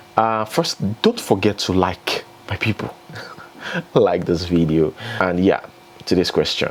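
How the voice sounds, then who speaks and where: Over noticeable background noise, a man speaks at a fairly slow pace with a fairly low pitch and ordinary pitch variation. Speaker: entertainment news vlogger. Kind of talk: casual vlog commentary. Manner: conversational, chatty.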